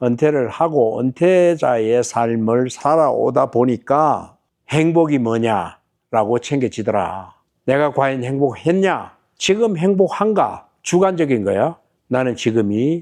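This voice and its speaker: The background stays quiet. A man speaks at a very slow pace. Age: 70s. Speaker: retired businessman. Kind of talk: casual advice talk.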